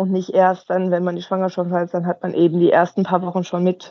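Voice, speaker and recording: Speaking at a moderate pace, the woman has a fairly low pitch. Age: 40s. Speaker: personal trainer. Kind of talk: interview.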